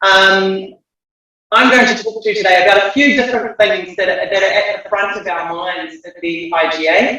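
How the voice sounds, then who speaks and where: A man with a New Zealand accent uses a raised, projected voice at a high pitch and a moderate pace. His pitch variation is ordinary, his loudness swings widely, and music plays in the background. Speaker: geothermal association president. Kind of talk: conference talk. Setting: video call. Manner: hesitant, many fillers. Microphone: unstable Wi-Fi connection.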